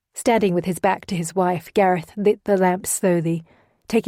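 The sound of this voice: Over a quiet background, the reading voice is unforced and the intonation fairly even.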